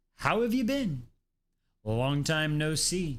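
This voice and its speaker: A man puts on a gruff character voice in a northern accent, pitched fairly high for a man. He speaks at a fairly slow pace with very wide pitch swings. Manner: welcoming, teasing.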